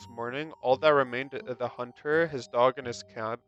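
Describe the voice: Plain reading aloud. The text is read straight through.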